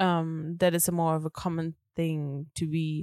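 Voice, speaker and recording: A woman is speaking. The recording is very clean with a silent background, and the sound is dry and close with no echo. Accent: British. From Germany. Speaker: podcast co-host. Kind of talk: casual chat. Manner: animated.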